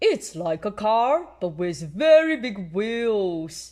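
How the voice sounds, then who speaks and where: Someone performs a put-on character voice at a fairly high pitch and a very slow pace. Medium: read story.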